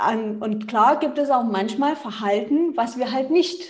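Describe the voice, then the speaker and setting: Very slow pace from a woman, fairly high in pitch, with ordinary pitch variation. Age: 30s. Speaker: family coach and nonviolent communication trainer. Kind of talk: casual interview.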